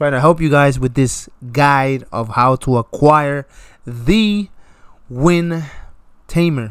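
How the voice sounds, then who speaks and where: A man's fairly high voice at a very slow pace, with ordinary pitch variation and long, frequent pauses. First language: not English. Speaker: gaming youtuber. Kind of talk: gameplay commentary. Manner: casual, repetitive.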